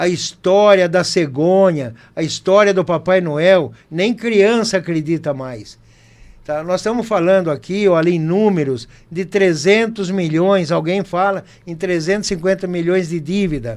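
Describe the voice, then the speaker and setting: At a fairly slow pace, a man speaks in a high voice. His pitch varies in an ordinary way. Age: 60s. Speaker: mayoral candidate. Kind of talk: campaign closing statement. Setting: studio, live broadcast.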